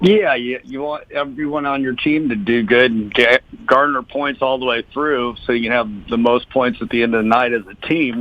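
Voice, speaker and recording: Here a man with an American accent uses an ordinary speaking voice, medium in pitch, at a moderate pace with ordinary pitch variation. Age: 60s. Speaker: speedway racer. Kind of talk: interview.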